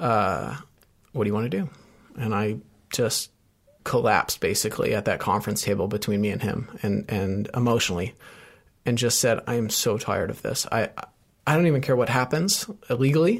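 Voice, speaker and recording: A man talks at a fairly quick pace with long, frequent pauses. His medium-pitched voice shows ordinary pitch variation. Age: 30s. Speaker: ultramarathon runner in addiction recovery. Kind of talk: interview about personal recovery story.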